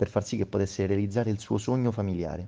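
Talking at a very fast pace, a man has a fairly low pitch, a dark, mellow tone and ordinary pitch variation. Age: 60s. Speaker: homeless man. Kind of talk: testimony.

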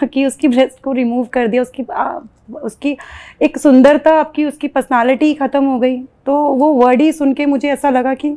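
A woman with a high pitch and a dark, mellow tone talks at a fairly slow pace with fairly even intonation. The background is quiet. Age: 40s. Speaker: cancer survivor sharing her story. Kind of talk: testimony. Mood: earnest, emotional recollection. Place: home room.

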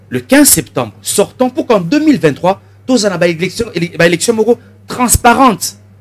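The intonation is lively throughout. The speaker is a man with a high pitch. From DR Congo. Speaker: member of parliament; guest. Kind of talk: political interview. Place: studio. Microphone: studio mic.

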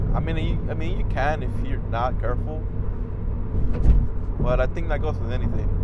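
A man's voice sounds dry with no echo, set against loud background noise. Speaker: car owner vlogger. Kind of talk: casual vlog chat. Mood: relaxed, reflective. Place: car. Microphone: lapel.

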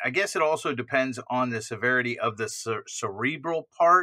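Against a quiet background, a man talks at a moderate pace in a bright, sharp tone with ordinary pitch variation. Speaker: stream co-host. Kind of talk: casual discussion. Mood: reflective, occasional laughs. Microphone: webcam.

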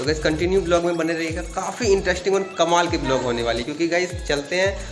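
Clear music sounds in the background. Over it, a man speaks at a moderate pace with ordinary pitch variation. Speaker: vlogger. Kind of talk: casual vlog chat. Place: home room. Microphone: phone near.

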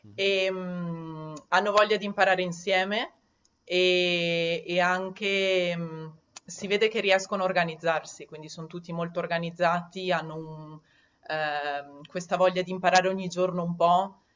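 In a Trentino accent, a woman speaks at a fairly low pitch and fairly slow pace, her intonation monotone and flat while her loudness swings widely. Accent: Trentino Italian. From Trentino, Italy. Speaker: Italian teacher. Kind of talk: interview answer. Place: home room. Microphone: headset.

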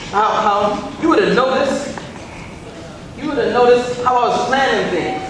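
A man is speaking. Strong room echo and noticeable background noise surround his voice. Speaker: stage actor playing a husband. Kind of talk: dramatic stage monologue. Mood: earnest, pleading, defensive. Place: stage. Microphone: camera far.

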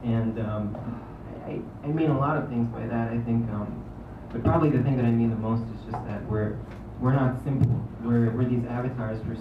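Delivered at a moderate pace with monotone, flat intonation, the speech comes with noticeable background noise and audible room echo. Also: man. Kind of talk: stage talk introducing a song. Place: cafe. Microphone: camera far.

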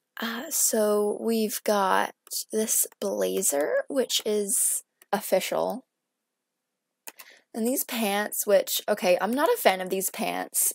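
Soft-spoken, a woman talks at a very slow pace with long, frequent pauses. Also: dry, close sound with no echo. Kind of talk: casual gameplay commentary.

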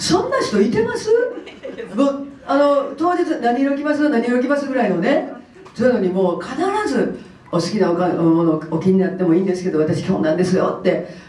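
In a room with audible echo, a woman talks fairly quickly at a fairly high pitch with very wide pitch swings. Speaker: comedian. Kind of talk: press conference interview answer. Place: hall.

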